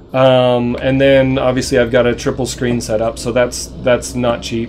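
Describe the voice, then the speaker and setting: A man speaks at a moderate pace while noticeable background noise sits underneath. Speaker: video game live streamer. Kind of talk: live stream gameplay commentary. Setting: home. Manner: halting, many fillers.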